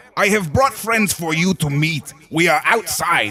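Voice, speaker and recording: Loud and booming, a man with a fairly high pitch performs a put-on character voice. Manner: friendly, polite.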